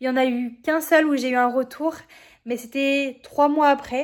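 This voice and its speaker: This woman's pitch is high, and her intonation is fairly even. She talks at a moderate pace in a very clean recording with a silent background. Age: 20s. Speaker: vlogger and amateur open-water swimmer. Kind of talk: personal vlog narration. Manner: hesitant, many fillers.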